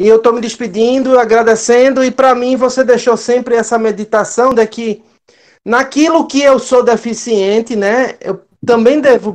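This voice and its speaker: A man with a northeastern Brazilian accent speaks fairly slowly at an extremely high pitch, his intonation fairly even. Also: quiet background. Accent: Northeast Brazilian. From Northeast Brazil. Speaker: church member, teacher. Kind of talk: casual farewell remarks.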